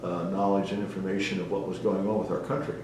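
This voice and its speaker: Speaking fairly quickly with an American accent, a man is heard amid noticeable background noise and audible room echo. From US Northeast (New Jersey / Philadelphia area). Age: 80s+. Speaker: retired navy officer, war veteran. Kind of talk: oral history interview. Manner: halting, many fillers.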